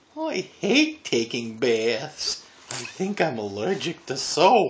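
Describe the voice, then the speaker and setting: Using a put-on character voice at a middle pitch, the speaker goes at a very slow pace. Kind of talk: children's picture book reading. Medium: read story. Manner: chatty, good-humoured.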